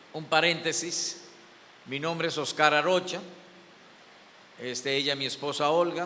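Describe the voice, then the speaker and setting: There is audible room echo as the speaker talks at a fairly slow pace with fairly even intonation. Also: man. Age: 70s. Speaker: pastor. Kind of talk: sermon.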